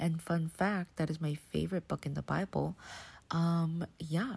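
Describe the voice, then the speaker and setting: A woman speaks quietly at a fairly slow pace in a very deep, low voice that is somewhat breathy, on a very clean recording with a silent background. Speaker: devotional podcast host. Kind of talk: casual solo devotional talk. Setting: bedroom at night, home. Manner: soft-spoken, subdued, not dynamic.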